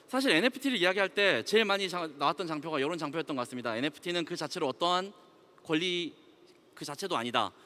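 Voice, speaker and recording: A man talks with lively intonation. His tone is bright and sharp. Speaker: company CEO, conference speaker. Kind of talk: conference talk. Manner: fast.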